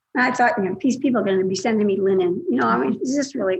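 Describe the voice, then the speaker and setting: This woman's voice sits at a medium pitch, somewhat breathy, with ordinary pitch variation. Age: 70s. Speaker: scam victim. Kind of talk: casual chat.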